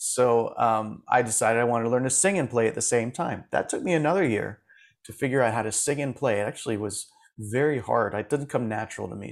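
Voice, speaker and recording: A man with an American accent talks at a very fast pace with vocal fry, on a very clean recording with a silent background. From Florida, US. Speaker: music supervisor and coach for musicians. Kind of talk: interview.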